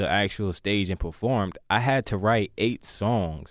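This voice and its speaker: A man with an unremarkable speaking voice, fairly low in pitch, at a fairly slow pace with ordinary pitch variation. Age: 20s. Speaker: rapper. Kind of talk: interview.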